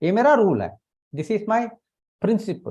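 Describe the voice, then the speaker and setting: A man talks with lively intonation. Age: 60s. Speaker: network marketer. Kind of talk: testimony. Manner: halting.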